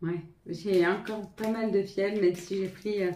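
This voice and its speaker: A woman's dark, mellow tone moves at a fairly slow pace in a monotone, flat intonation. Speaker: tarot reader. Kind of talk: tarot reading to viewers. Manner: halting, stumbling.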